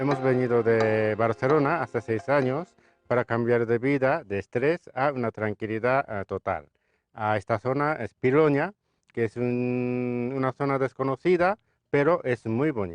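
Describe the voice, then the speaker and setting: Over music in the background, a man with a Japanese accent speaks at a fairly slow pace and medium pitch with ordinary variation, the sound dry and close with no echo. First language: Japanese (speaking Spanish). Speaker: restaurant owner and chef. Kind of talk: interview. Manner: halting.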